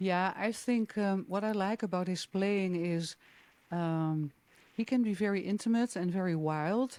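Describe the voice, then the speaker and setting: A woman with a Dutch accent at medium pitch, with very even loudness, a fairly slow pace and ordinary pitch variation. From Netherlands. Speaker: jazz singer. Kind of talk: interview. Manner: hesitant, many fillers.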